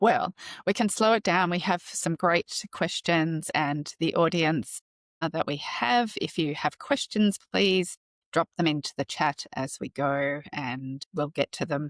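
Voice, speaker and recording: Speaking in a plain, everyday voice, a woman with a fairly low pitch talks at a fairly slow pace with lively intonation, in a dry, close recording with no echo. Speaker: community founder and host. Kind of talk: hosting an interview.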